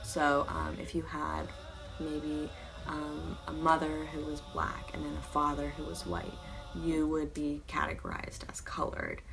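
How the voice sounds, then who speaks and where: Over music in the background, a soft-spoken woman talks at a fairly slow pace. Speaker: student vlogger. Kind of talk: casual talk to camera.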